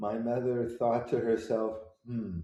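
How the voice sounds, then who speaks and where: A man talks with an American accent and a dark, mellow tone. Audible room echo surrounds his voice. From US Pacific Northwest, Seattle. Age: 70s. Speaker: composer. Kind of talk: interview.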